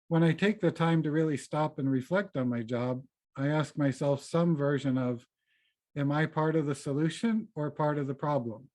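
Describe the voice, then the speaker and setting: Against a quiet background, a man with an American accent and a normal speaking voice talks at a moderate pace, his fairly high pitch showing ordinary variation. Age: 50s. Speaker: lay worship associate. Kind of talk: personal reflection in a church service.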